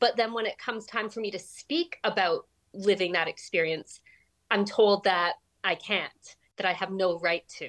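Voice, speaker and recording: An unremarkable speaking voice with a Canadian accent moves at a moderate pace with ordinary pitch variation, the sound dry and close with no echo. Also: woman, medium pitch for a woman. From Canada. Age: 40s. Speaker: writer. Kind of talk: interview.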